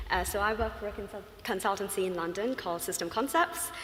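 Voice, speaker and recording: A woman with a Sri Lankan accent talks at a fairly quick pace. Noticeable background noise and audible room echo are present. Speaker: UX design consultant. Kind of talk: conference talk. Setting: stage with audience. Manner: fast; hesitant, many fillers.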